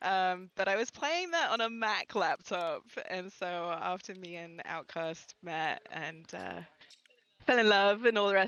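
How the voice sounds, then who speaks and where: A woman with an English accent speaks at a fairly slow pace, her intonation fairly even. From England. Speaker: gaming content creator. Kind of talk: live podcast chat.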